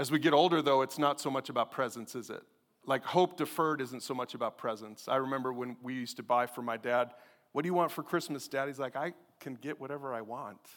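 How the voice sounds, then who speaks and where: Very fast speech in a very clean recording with a silent background. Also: man. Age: 50s. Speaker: pastor. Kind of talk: sermon. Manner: animated.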